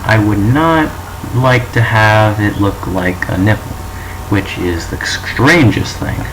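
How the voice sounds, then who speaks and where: Against noticeable background noise and audible room echo, a man speaks at a fairly low pitch. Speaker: student presenting a school project. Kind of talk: presentation of a topic, mock show. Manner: monotone; halting, with false starts.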